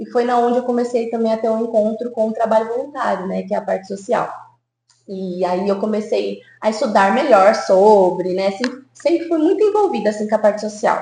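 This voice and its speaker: At a fairly quick pace, a woman with a plain, everyday voice speaks at a fairly high pitch with ordinary pitch variation. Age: 20s. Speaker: psychologist. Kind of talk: podcast interview.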